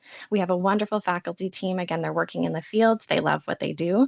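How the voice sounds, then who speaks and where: At a very fast pace and with ordinary pitch variation, the speech sounds dry and close with no echo against a quiet background. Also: woman. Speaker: college support services officer. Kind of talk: online information session presentation.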